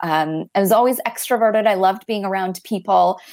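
A plain, everyday voice with an American accent, at a moderate pace, with ordinary pitch variation. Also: woman. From Florida. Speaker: coaching company representative. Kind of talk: interview.

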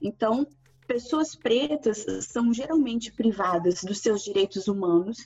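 A woman with an ordinary speaking voice talks at a fairly slow pace and a fairly high pitch. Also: ordinary pitch variation. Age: 30s. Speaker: university lecturer. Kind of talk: interview.

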